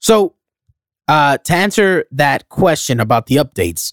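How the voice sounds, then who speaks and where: With an American accent, the voice shows very wide pitch swings and vocal fry in a dry, close sound with no echo. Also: man. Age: 30s. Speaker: podcast host. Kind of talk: casual chat.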